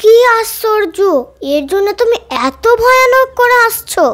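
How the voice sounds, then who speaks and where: At a moderate pace, the speaker uses a put-on character voice pitched extremely high. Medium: stage play. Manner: giggly, absurd.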